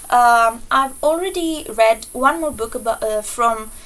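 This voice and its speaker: A high-pitched woman with a non-native accent, fairly slow, with ordinary pitch variation. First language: not English. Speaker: book reviewer. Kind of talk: casual vlog review. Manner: hesitant, many fillers; enthusiastic.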